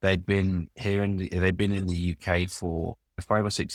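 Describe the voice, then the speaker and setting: A man's very deep, low voice in a London accent, monotone and flat, at a moderate pace, dry and close with no echo, on a very clean recording with a silent background. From London, England. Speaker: business executive and author. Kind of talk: interview.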